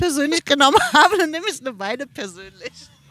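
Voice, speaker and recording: Recorded with a dry, close sound and no echo, a woman speaks in a high voice. Her delivery is very fast, with lively intonation. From Berlin (Mitte), Germany. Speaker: podcast guest. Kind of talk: casual chat. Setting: outdoors by a river at a music festival.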